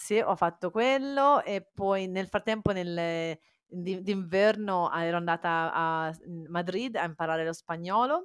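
Speaking very slowly, a woman uses a cheerful tone at a medium pitch with ordinary pitch variation. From Italy, born Cagliari, raised Faenza. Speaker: entrepreneur. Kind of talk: casual interview chat. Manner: halting, searches for Italian words; cheerful, laughs often.

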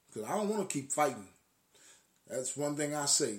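The speaker is a man talking at a fairly quick pace. Room echo can be heard. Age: 50s. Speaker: podcast host. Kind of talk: casual monologue. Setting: live stream. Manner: halting.

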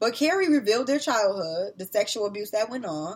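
An American accent marks this woman's animated delivery. She talks at a very fast pace with ordinary pitch variation. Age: 30s. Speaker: podcast host. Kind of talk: casual chat.

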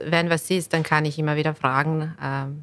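A woman with a Bosnian accent speaks in a very deep, low pitch with monotone, flat intonation. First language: Bosnian (speaking German). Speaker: real estate lawyer. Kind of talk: podcast interview.

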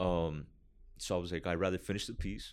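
A man speaks with a very deep, low pitch and a calm tone at a fairly quick pace. His pitch varies in an ordinary way, against a quiet background. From Miami. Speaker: graffiti artist. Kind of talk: casual chat. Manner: calm, laid-back.

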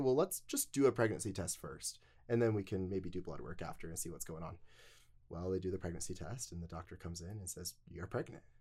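This man has a very deep, low pitch, a dark, mellow tone and an American accent, and he talks at a very fast pace. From Utah. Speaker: podcast guest sharing life story. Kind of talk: interview storytelling. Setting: studio.

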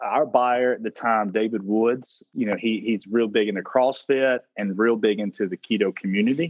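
A man talks with a strong Southern US accent. He keeps a moderate pace. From South Carolina. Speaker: food brand founder and CEO. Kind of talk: interview. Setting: phone call.

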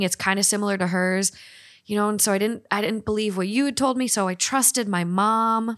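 With an American accent, a woman talks at a moderate pace in an unremarkable speaking voice, medium in pitch with fairly even intonation, on a very clean recording with a silent background. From Minnesota. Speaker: podcaster. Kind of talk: casual chat.

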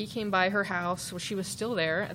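There is audible room echo around a woman's voice. Her pitch is medium and her intonation fairly even. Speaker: podcast host, former police officer, crime analyst. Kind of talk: live true-crime storytelling. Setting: stage with audience.

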